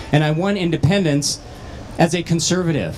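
With faint music in the background, a man talks at a fairly quick pace in a fairly high pitch. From northwestern Minnesota. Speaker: county commissioner, gubernatorial candidate; candidate. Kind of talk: candidate forum. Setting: stage with audience at state fair. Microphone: handheld.

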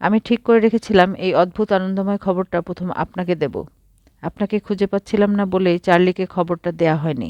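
Plain reading aloud, intonation kept fairly even

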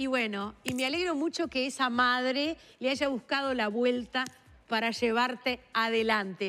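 Her tone is bright and sharp. A woman with a high pitch speaks at a fairly slow pace. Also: ordinary pitch variation. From Uruguay. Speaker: TV host. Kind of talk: TV interview. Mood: warm, pleased. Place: studio.

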